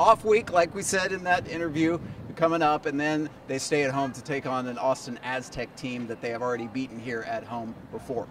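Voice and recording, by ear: At a fairly quick pace and with few pauses, a man talks at a medium pitch with fairly even intonation.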